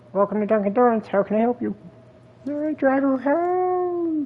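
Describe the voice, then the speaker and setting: In a put-on character voice, the speaker uses a high pitch and a theatrical tone at a moderate pace. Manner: cartoon-like theatrical.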